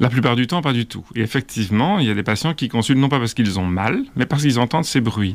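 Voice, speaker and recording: A man at medium pitch speaks very fast with ordinary pitch movement, the recording very clean and the background silent. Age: 50s. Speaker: orthopedic surgeon. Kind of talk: interview.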